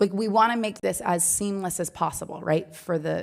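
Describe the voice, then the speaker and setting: Her intonation stays fairly even as a woman talks with vocal fry. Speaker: planning and zoning board member. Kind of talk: public meeting deliberation. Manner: fast.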